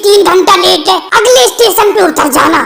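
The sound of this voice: Delivered at a moderate pace, this cartoonish character voice comes through over clear background noise.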